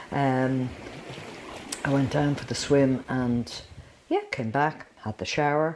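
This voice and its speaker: Someone with an Irish accent speaks at a very slow pace, with long, frequent pauses. The intonation is fairly even, and background noise is noticeable. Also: woman, very deep, low pitch for a woman. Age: 70s. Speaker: dancer. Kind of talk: casual chat.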